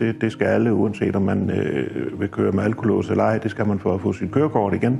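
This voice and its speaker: Noticeable background noise behind a man, his intonation lively and his pace moderate. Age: 60s. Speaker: customer testimonial, recovering alcoholic. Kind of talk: testimony. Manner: halting, many hesitations.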